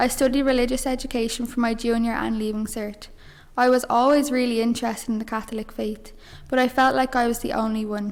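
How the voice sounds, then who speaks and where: In a Dublin accent, a woman speaks very fast at a high pitch with monotone, flat intonation. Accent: Dublin Irish. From Ireland, Dublin. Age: 20s. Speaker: mission member giving faith testimony. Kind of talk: testimony.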